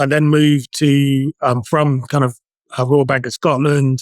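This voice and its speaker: A man with a British accent speaks at a fairly high pitch in a monotone, flat delivery. The sound is dry and close, with no echo. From UK. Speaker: outsourced CFO. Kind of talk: interview.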